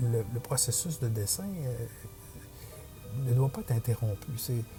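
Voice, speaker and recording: Music plays in the background as a man speaks with a Quebec accent. His voice is medium in pitch with ordinary pitch variation. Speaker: digital portrait artist. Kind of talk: drawing tutorial voice-over. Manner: hesitant, many fillers.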